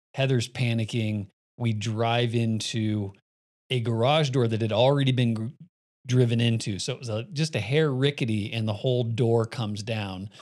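This is a man with an American accent and an ordinary speaking voice, pitched at a medium level. He keeps a moderate pace and fairly even intonation on a very clean recording with a silent background. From Phoenix, Arizona. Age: 50s. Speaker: podcast host. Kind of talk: casual chat.

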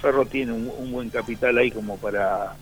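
A man speaks at a medium pitch while music plays behind him. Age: 50s. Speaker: former footballer. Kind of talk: radio interview. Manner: halting.

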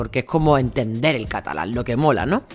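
A woman with an Andalusian accent at a very fast pace. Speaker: monologue performer and podcaster. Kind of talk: solo podcast monologue. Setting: outdoors in home patio.

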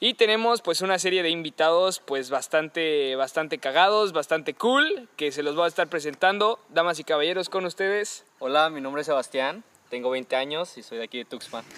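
The voice has a bright, sharp tone and lively intonation, with hardly any pauses. The sound is dry and close, with no echo. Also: man, fairly high pitch for a man, moderate pace. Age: young. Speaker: podcast host. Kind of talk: casual chat; podcast intro and outro. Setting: recording on location.

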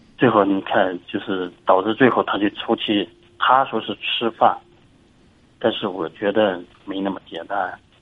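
A man talks slowly, fairly low in pitch, with fairly even intonation. He leaves long, frequent pauses. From Inner Mongolia, China. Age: 40s. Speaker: caller seeking advice. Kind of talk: call-in advice conversation. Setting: phone call. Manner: halting, with many repetitions.

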